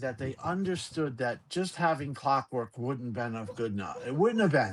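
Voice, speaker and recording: Speaking with a New York accent, a man swings his pitch very widely. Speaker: gaming podcast host. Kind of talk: casual chat. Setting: live stream. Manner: halting.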